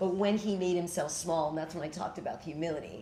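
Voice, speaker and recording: A woman speaks very fast in an American accent, her pitch medium with ordinary variation. Noticeable background noise runs underneath. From New York City. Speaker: spiritual teacher and storyteller. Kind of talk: talk with audience Q&A.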